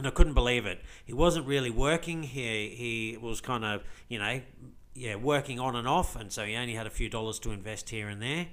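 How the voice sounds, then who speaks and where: Speaking at a fairly quick pace in an Australian accent, a man with a medium pitch shows ordinary pitch variation and big swings in loudness. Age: 40s. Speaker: crypto vlogger. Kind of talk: casual vlog monologue. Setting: recorded video to camera with screen share.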